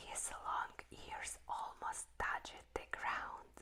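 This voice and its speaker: Someone whispers at a very slow pace. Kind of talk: whispered book reading. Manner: whispered, soft, slow.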